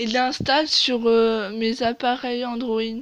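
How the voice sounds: A woman's fairly high voice, slow and with little pitch movement.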